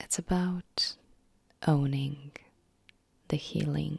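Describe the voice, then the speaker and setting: Soft-spoken and gentle in tone, the voice moves at a very slow pace. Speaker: emotional wellness content creator. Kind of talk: soft-spoken personal story. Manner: soft-spoken, gentle.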